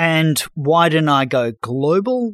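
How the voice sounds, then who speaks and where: Lively, fairly high male voice with an Australian accent, in a dry, close sound with no echo. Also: very clean recording, silent background. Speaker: financial journalist and former fund manager. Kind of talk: interview.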